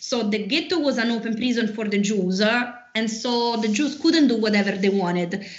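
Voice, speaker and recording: A woman with an Italian accent and a fairly high pitch, at a moderate pace with ordinary pitch variation, amid noticeable background noise and audible room echo. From Rome, Italy. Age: 30s. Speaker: tour guide. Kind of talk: interview. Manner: halting, frequent fillers.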